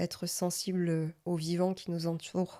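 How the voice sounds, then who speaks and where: Dark and mellow in tone, the voice keeps a monotone, flat intonation at a fairly slow pace on a very clean recording with a silent background. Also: woman. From Provence, Marseille area. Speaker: podcast co-host, coach. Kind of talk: interview.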